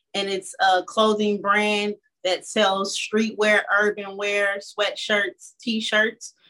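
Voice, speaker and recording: Bright and sharp in tone, a woman with an American accent speaks at a fairly high pitch. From Chicago, Illinois. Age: 30s. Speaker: podcast co-host, entrepreneur. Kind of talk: casual chat.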